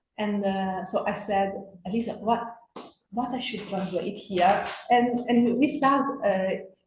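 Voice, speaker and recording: With long, frequent pauses and a fairly slow pace, a woman speaks at a medium pitch amid audible room echo. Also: ordinary pitch variation. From Bosnia, then Italy from age 14. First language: Bosnian. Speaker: literary translator and writer. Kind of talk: panel discussion. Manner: halting, many fillers.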